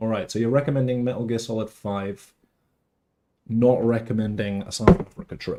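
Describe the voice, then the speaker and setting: With a strong British accent, a man talks at a fairly quick pace in a medium pitch with ordinary pitch variation. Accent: British, grown stronger. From England. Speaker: gaming streamer. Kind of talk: casual live-stream chat. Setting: live stream. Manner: rambling, chatty.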